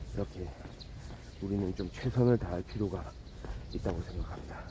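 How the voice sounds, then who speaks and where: A man's voice at a moderate pace, with noticeable background noise. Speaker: vlogger. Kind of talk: walking vlog monologue. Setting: outdoors, walking. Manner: casual, with frequent filler words.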